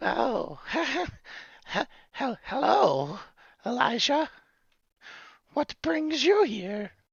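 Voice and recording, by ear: A put-on character voice, fairly high in pitch, at a very slow pace with long, frequent pauses.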